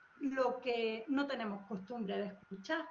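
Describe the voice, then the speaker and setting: Speaking at a very slow pace, a woman with an Andalusian accent is heard with audible room echo. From Andalusia, Spain. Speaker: language expert panelist. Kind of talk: panel discussion.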